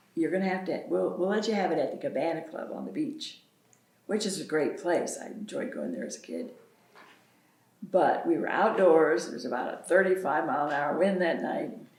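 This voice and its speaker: A woman with an American accent speaks at a fairly quick pace and a fairly low pitch, with lively intonation and big swings in loudness. Noticeable background noise and audible room echo fill the recording. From US South. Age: 70s. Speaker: local pioneer. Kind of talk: oral history interview.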